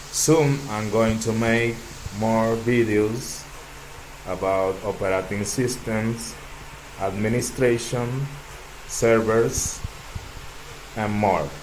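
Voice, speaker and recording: Slowly and with long, frequent pauses, a man with a Dominican accent speaks in a medium pitch with fairly even intonation, amid audible room echo and noticeable background noise. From Dominican Republic. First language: Spanish. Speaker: tech YouTuber. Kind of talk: tech demo walkthrough.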